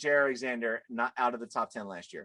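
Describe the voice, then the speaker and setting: A man talks at a very fast pace with a bright, sharp tone. The sound is dry and close, with no echo. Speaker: NFL podcaster. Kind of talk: casual sports debate. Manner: animated.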